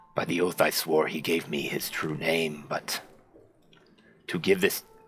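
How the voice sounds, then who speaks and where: Using a put-on character voice, a man speaks at a moderate pace in a raspy, very deep, low register. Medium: actual play. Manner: formal, archaic.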